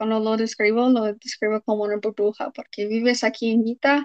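The sound is dry and close with no echo as a woman with an English accent speaks at a fairly high pitch. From Utah, US. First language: English (speaking Spanish). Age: 20s. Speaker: former church member. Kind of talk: interview.

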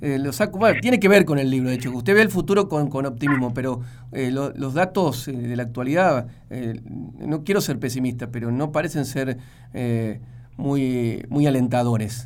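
At a moderate pace, a man talks at a medium pitch with ordinary pitch variation, and audible room echo follows his words. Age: 40s. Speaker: radio host. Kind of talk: radio interview.

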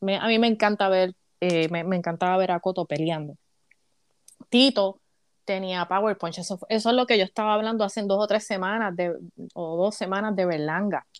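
Against a quiet background, a woman with a Puerto Rican accent speaks at a medium pitch and a moderate pace with fairly even intonation, the sound dry and close with no echo. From Puerto Rico, Caguas. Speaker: sports commentator. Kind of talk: casual chat.

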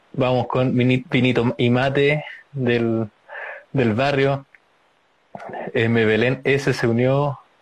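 Very slowly and with long, frequent pauses, a man speaks at a medium pitch with monotone, flat intonation and very even loudness. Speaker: livestream interview host. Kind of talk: casual interview.

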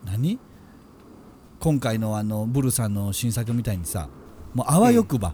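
A man speaks in a Kansai accent with a dark, mellow, somewhat breathy tone. His intonation is lively, broken by long, frequent pauses. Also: medium pitch for a man, moderate pace. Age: middle-aged. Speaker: podcast co-host, creator. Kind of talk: casual chat.

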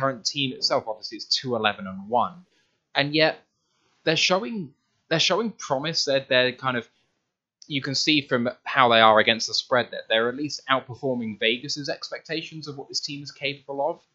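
Bright, sharp tone with a British accent, ordinary pitch variation and big swings in loudness. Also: man. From UK. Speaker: podcast host. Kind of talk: interview. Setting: video call.

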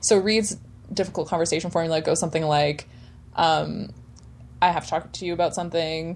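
A woman speaks at a moderate pace with an ordinary speaking voice. Her pitch is fairly low and her intonation fairly even. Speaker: sex educator. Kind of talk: casual chat. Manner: playful.

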